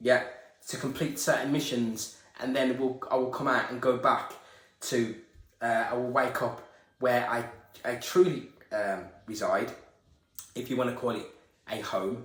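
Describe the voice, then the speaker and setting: Music plays in the background as a man of medium pitch talks at a moderate pace with ordinary pitch variation, with audible room echo around him. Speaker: esoteric video creator. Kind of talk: spiritual monologue. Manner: stuttering, halting.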